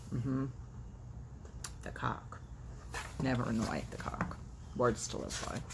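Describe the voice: Against clear background noise, a woman with an extremely low pitch and vocal fry speaks slowly with lively intonation.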